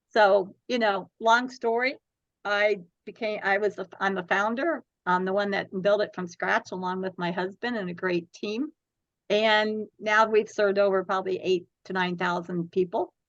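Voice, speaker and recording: In a normal speaking voice, a woman at medium pitch speaks at a moderate pace with fairly even intonation, the sound dry and close with no echo. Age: 60s. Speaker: domestic violence charity founder. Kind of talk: interview.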